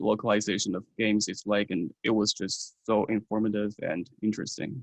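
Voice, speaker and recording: A man with a Chinese accent speaks at a moderate pace in a fairly low voice, recorded dry and close with no echo. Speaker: university student. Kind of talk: interview. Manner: hesitant, with filler ums.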